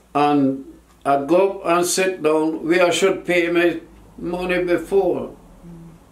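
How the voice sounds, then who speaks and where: This man speaks very slowly at a high pitch with fairly even intonation. Audible room echo surrounds his voice. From Jamaica. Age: 80s+. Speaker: war veteran. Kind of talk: interview answer. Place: home room. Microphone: camera far.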